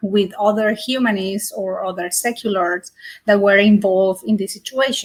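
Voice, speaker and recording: A woman's medium-pitched voice with monotone, flat intonation. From Colombia. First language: Spanish. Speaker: secular community volunteer. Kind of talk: panel discussion.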